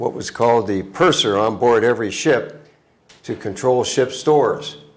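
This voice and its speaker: Fairly slow speech from a man, with audible room echo. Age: 80s+. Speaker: business founder. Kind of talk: interview. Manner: halting.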